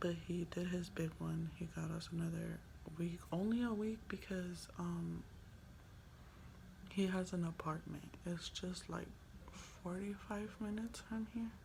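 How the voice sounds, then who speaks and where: The speech moves at a fairly slow pace with long, frequent pauses. Audible room echo surrounds it. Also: woman. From Los Angeles, San Fernando Valley. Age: 20s. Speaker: vlogger. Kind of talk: casual vlog monologue. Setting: hotel room.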